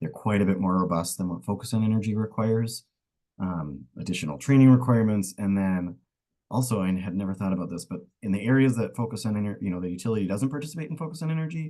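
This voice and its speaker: A man at a fairly low pitch, with a dark, mellow tone, lively intonation and a very fast pace. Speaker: energy program community liaison manager. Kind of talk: webinar presentation.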